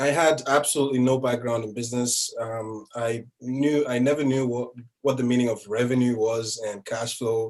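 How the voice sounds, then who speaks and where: Hardly any pauses break up this man's speech. His moderate-paced delivery has a monotone, flat intonation. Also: medium pitch for a man. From Nigeria. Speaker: business buyer, former physician. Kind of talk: interview. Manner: hesitant, many fillers.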